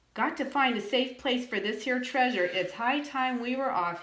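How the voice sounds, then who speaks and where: A woman bellows in a put-on character voice. It is gruff and high-pitched. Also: moderate pace. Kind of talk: storybook pirate talk. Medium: read story. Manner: bellowing, gruff.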